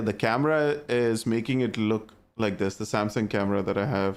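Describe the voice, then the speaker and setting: With a strong Indian accent, a man talks in an animated tone at a moderate pace, captured in a very clean recording with a silent background. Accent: thick Indian. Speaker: gaming streamer. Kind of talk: casual chat. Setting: live stream.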